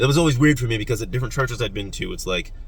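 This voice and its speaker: A man's very fast speech is heard with audible room echo around it. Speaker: YouTuber talking philosophy and politics. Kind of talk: casual monologue.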